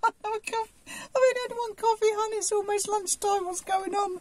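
The pitch sits extremely high. It is a put-on character voice. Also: moderate pace. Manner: put-on, mocking.

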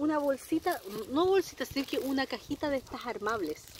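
A woman with a high pitch, an animated tone, and lively intonation, in dry sound with no echo over light background noise. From Chile. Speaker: beauty product sales consultant and vlogger; beauty product sales consultant, vlogger. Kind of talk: casual unboxing vlog. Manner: chatty, animated. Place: garden. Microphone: phone near.

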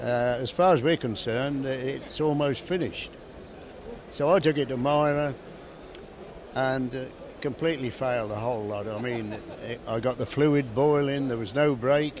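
Noticeable background noise accompanies a man speaking at a moderate pace. The sound is dry with no echo, and his pitch varies in an ordinary way. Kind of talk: interview answer. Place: hall. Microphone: handheld.

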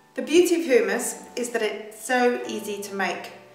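At a moderate pace, a woman speaks with lively intonation, with audible room echo and noticeable background noise. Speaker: cooking show host. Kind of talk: tutorial.

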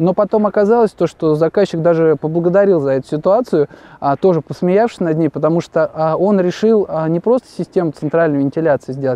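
Speaking at a high pitch and a fairly quick pace, a man uses ordinary pitch variation. The sound is dry with no echo. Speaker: guest. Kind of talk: interview answer, storytelling. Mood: relaxed, amused anecdote. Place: open country.

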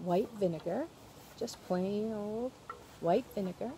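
Somewhat breathy and dark, mellow in tone, a woman speaks at a fairly slow pace with ordinary pitch variation, the sound dry with no echo and light background noise behind her. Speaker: presenter. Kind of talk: tutorial. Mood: cheerful, friendly. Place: garden. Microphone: phone near.

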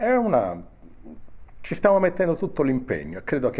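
Swinging very widely in pitch, a man speaks at a moderate pace. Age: old. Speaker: former politician. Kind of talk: interview. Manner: halting, repeating words. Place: hall. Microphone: handheld.

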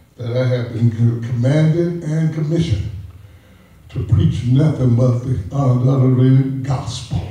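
Strong room echo surrounds a man speaking at a fairly slow pace with ordinary pitch variation. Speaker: pastor. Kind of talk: sermon. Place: church. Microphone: podium.

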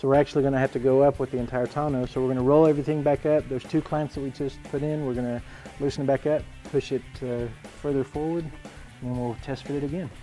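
Over faint background music, a man rattles along at a very fast pace with monotone, flat intonation. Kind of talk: tutorial. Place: garage.

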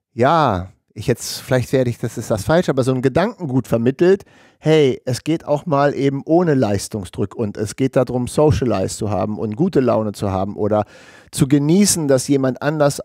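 A man speaks at a moderate pace with a dark, mellow tone. The sound is dry with no echo, and the background is quiet. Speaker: podcast co-host. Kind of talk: podcast conversation. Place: studio. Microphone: headset.

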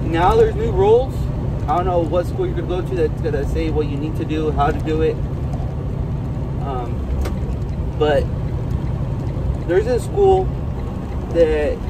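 A man at a moderate pace with long, frequent pauses, against loud background noise. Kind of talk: casual vlog chat. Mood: relaxed, positive. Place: car. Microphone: phone near.

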